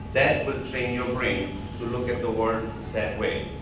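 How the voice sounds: A man speaks at a fairly slow pace. Background noise is clearly heard, along with audible room echo.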